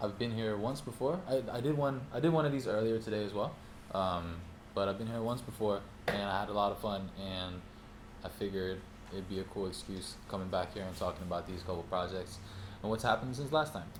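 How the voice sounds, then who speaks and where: In audible room echo, a man with a fairly low pitch talks at a fairly quick pace with ordinary pitch variation. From Norway. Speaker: music producer and artist teaching a class. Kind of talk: master class talk to small audience. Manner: casual, many filler ums.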